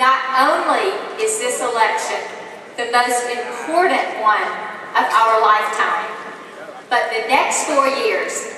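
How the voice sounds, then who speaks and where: In a room with audible echo and noticeable background noise, a woman speaks very slowly with long, frequent pauses. Her pitch is high, and she has an American accent. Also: ordinary pitch variation. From US South, south Georgia. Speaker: political candidate. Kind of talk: campaign speech.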